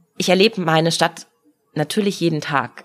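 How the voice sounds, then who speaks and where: Her pitch fairly low, a woman speaks fairly quickly in an ordinary speaking voice with ordinary pitch variation. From Munich, Bavaria. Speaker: mayoral candidate, politician. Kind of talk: casual interview.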